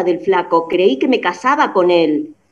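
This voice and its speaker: A woman's voice with very wide pitch swings, over noticeable background noise. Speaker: friend of the show. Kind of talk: casual chat. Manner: animated.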